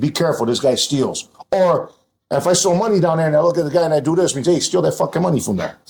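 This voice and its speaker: Loud and animated, a man talks at a very fast pace in a high voice with ordinary pitch variation. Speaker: restaurant owner. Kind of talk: casual chat.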